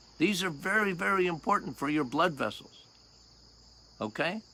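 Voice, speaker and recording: A man's bright, sharp voice with vocal fry and very wide pitch swings, at a moderate pace. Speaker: health talk presenter. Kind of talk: casual, explanatory. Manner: loud.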